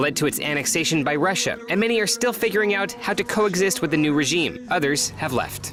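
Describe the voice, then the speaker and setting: Over music in the background, a man speaks at a very fast pace with lively intonation. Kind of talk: TV news narration.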